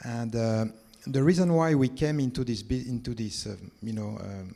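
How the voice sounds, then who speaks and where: With a French accent, a man talks in a dark, mellow tone at a medium pitch. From France. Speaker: tech company founder. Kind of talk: panel discussion.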